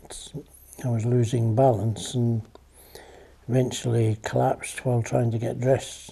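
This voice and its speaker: A man speaks with a Scottish accent. His intonation is monotone and flat. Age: 80s+. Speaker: veteran squash player. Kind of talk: documentary interview.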